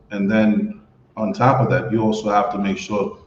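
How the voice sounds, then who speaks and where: The speaker is a man with a fairly low pitch. Room echo can be heard. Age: 40s. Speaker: guest on dating and expat podcast. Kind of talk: casual chat. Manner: repetitive, stammering restarts.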